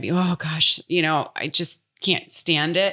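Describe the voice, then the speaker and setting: In an American accent, this woman talks with a very deep, low pitch. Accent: American accent, never changed. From United States, small farm town. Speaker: expat interviewee. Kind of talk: podcast interview. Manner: halting, many fillers.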